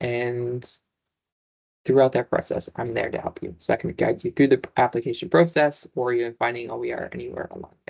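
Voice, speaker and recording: A somewhat breathy man's voice at medium pitch, with big swings in loudness and long, frequent pauses. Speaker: librarian presenting a webinar. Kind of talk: online presentation. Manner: fast.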